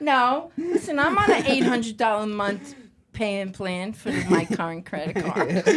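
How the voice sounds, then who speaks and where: A woman with an American accent speaks at a moderate pace in an animated tone, her pitch swinging very widely over noticeable background noise. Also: fairly high pitch for a woman. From New Jersey, Jersey City. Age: 60s. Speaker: mother of pro athletes. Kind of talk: casual chat.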